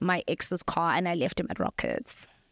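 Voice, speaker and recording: The recording is dry and close with no echo as a woman at medium pitch talks at a fairly quick pace. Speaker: YouTuber. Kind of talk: casual chat. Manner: loud; animated.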